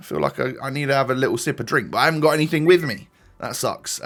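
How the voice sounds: A man puts on a character voice, raspy and fairly high in pitch. He rattles along at a very fast pace.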